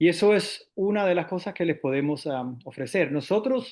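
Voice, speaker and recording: A man with a high pitch talks at a moderate pace, his intonation lively. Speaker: investment firm representative. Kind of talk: panel discussion. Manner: halting, many fillers.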